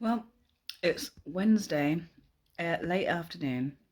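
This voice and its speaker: With a British accent, a woman talks. She keeps a moderate pace. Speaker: weight loss vlogger. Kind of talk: casual vlog.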